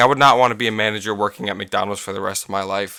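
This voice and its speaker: A loud man talking very fast on a very clean recording with a silent background. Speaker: gaming youtuber and podcaster. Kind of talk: casual podcast monologue. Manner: halting, many fillers. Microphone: too close to microphone.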